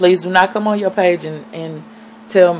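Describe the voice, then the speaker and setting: A woman speaks in a fairly low pitch. There is noticeable background noise. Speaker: vlogger, reborn doll collector. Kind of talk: casual vlog monologue. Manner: fast.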